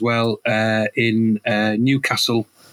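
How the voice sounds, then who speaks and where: The speaker is a man with a Teesside accent. His sound is dry and close, with no echo. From northern England, Middlesbrough. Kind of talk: casual chat. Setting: studio.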